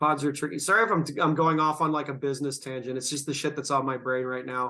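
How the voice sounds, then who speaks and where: Against a quiet background, a man with a fairly high pitch and bright, sharp tone talks at a fairly quick pace with fairly even intonation. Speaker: comedian podcast host. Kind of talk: casual chat.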